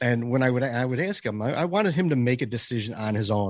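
With an American accent, a man talks at a fairly quick pace in a normal speaking voice, the sound dry and close with no echo over a quiet background. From Chicago area, US Midwest. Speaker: hockey podcaster and beer league goalie. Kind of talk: casual chat.

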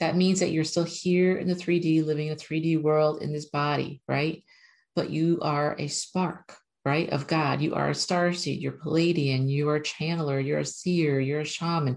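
A woman speaks at a moderate pace in a very deep, low voice. Her intonation is monotone and flat. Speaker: spiritual channeler and numerology video host. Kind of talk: casual spiritual talk to camera with guided meditation and channeled message. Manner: talkative.

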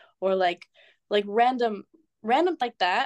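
A woman speaks with a Californian accent and a fairly high pitch. The background is quiet, and the sound is dry and close with no echo. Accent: American (Californian). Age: 20s. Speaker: fitness influencer and student. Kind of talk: podcast interview. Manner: hesitant, many fillers.

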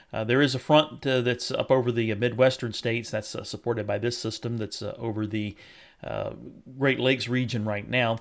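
In a Southern US accent, a man of medium pitch speaks in a flat monotone at a fairly quick pace on a very clean recording with a silent background. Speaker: meteorologist. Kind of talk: weather report. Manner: filler-heavy, frequent uh; explanatory, measured.

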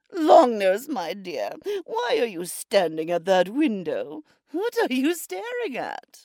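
A put-on character voice with a fairly high pitch at a fairly slow pace. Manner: cautious, cunning, doting.

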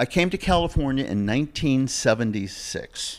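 The recording is very clean and the background silent. A man talks with an American accent. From US Northeast (Massachusetts). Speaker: vintage watch dealer. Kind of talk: casual interview.

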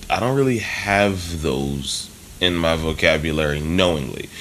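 Amid audible room echo, a man with an American accent and a very deep, low pitch speaks at a fairly slow pace. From US Northeast, Philadelphia. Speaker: jazz drummer. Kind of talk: casual interview.

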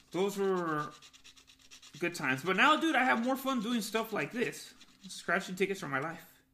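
A man with an American accent, high-pitched with very wide pitch swings, a bright, sharp tone and a raised, projected voice, at a moderate pace with long, frequent pauses. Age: 30s. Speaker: podcast co-host. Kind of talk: casual chat. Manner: animated.

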